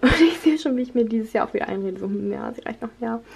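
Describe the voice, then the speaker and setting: This woman speaks at a fairly high pitch. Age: 20s. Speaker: vlogger and university student; vlogger. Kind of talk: casual vlog monologue.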